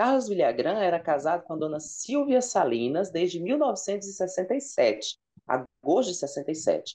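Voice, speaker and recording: A dark, mellow tone with very wide pitch swings, a very slow pace and a quiet background. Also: man, high pitch for a man. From Ceará, Brazil (Fortaleza); Ceará, Brazil. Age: 30s. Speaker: content creator on sitcom trivia; podcast guest. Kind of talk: casual interview chat. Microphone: earbuds.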